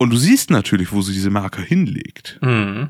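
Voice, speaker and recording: A man at a moderate pace with very wide pitch swings, in a dry, close sound with no echo and a very clean recording against a silent background. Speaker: board game podcast co-host. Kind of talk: casual chat.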